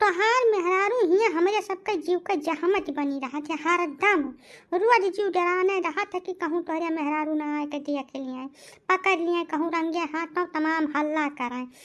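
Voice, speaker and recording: A cartoonish character voice sits at an extremely high pitch. It moves at a moderate pace. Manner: scolding, resentful.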